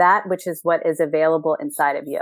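A woman's normal speaking voice, fairly low-pitched, with ordinary pitch variation. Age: 50s. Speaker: life coach. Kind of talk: casual interview chat.

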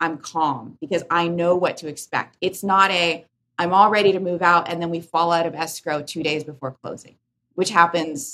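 A woman speaks at a fairly low pitch with a bright, sharp tone. Her pace is moderate and her intonation fairly even. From born in Korea, raised in US. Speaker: real estate tech CEO. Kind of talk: podcast interview.

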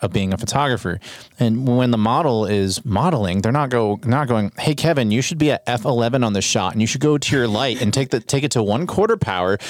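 In an ordinary speaking voice, a man speaks at medium pitch with lively intonation on a very clean recording with a silent background. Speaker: photography podcast host. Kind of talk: casual chat. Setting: studio. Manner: casual, frequent filler words.

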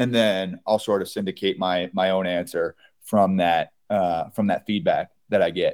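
A man with an American accent has an unremarkable speaking voice at a fairly low pitch. His intonation is fairly even, and the sound is dry and close with no echo. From US Northeast, Kingston, New York. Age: 30s. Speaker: beverage company co-founder. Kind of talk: interview.

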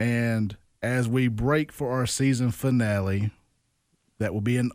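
A man's medium-pitched voice, dark and mellow in tone, with a Mississippi accent, on a very clean recording with a silent background. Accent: US Southern (Mississippi). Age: 30s. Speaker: podcast host. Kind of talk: casual interview.

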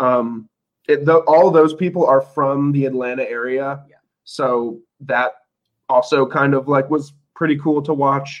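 In an ordinary speaking voice, a man speaks at a fairly slow pace and fairly high pitch, with fairly even intonation and big swings in loudness. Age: 20s. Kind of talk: casual chat.

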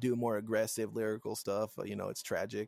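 Recorded very cleanly against a silent background, a man's voice sits at a medium pitch. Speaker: rapper. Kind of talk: casual chat.

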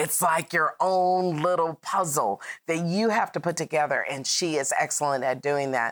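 A woman's speech shows ordinary pitch variation and runs at a moderate pace. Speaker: talk show host and CEO. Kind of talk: interview. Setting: studio.

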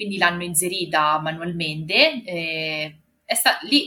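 A woman talks with a slight Marche accent. Her pitch sits fairly low. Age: 30s. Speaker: mother and office worker. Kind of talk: testimony.

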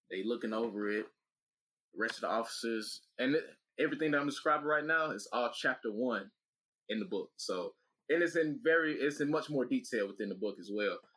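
Though his pace is fairly quick, this man leaves long, frequent pauses. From US South, Atlanta, Georgia. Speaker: former teacher and author. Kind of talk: casual interview storytelling. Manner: animated.

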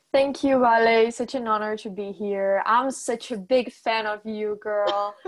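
A woman's fairly high voice in a Portuguese accent, with fairly even intonation. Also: fairly slow pace. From Brazil, Sao Paulo. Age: young. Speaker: gender equality activist. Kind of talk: casual chat.

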